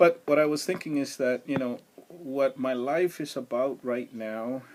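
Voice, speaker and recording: A man talks at a fairly slow pace. His pitch is fairly high. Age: 60s. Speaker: livestream host, retired insurance agent. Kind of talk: casual livestream monologue. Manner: halting, many filler words.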